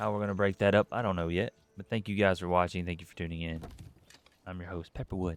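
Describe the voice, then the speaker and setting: A man with a very deep, low voice talks very fast in a flat monotone, his loudness swinging widely, in a dry, close recording with no echo. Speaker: game streamer. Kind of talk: live gameplay commentary. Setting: live stream. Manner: talking low.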